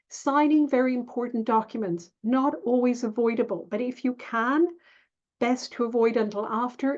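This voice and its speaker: A woman's plain, everyday voice at a fairly high pitch, with fairly even intonation, a moderate pace, and a quiet background. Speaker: astrologer. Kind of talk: tutorial. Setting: screen share video.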